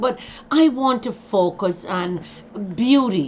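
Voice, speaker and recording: A woman speaks with a Jamaican accent and ordinary pitch variation. There is noticeable background noise. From Jamaica, Kingston. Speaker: vlogger. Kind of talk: casual monologue. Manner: halting.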